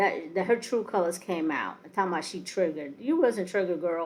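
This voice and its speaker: A plain, everyday voice at a fairly quick pace. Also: woman. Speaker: reality TV commentary podcaster. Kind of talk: casual commentary monologue.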